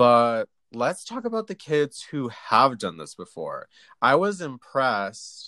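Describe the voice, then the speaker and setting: A very slow man at medium pitch, bright and sharp in tone, with very wide pitch swings, on a very clean recording with a silent background. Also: dry, close sound with no echo. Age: 20s. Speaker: college student, youth theater director. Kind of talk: casual chat.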